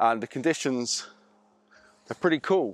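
A man talks at a moderate pace with ordinary pitch variation. Faint music plays in the background, and the sound is dry with no echo. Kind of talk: casual vlog chat. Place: open country. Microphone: lapel.

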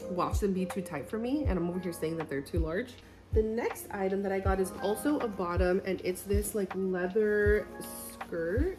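Clear music plays in the background behind a woman. She speaks at a moderate pace with ordinary pitch variation. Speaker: fashion vlogger. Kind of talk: casual vlog chat. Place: home room. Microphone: phone near.

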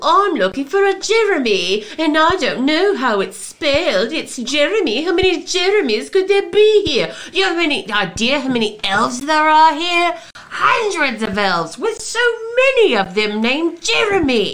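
A female-sounding put-on character voice speaks at a high pitch with very wide pitch swings. The pace is moderate, with light background noise. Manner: curt, brisk.

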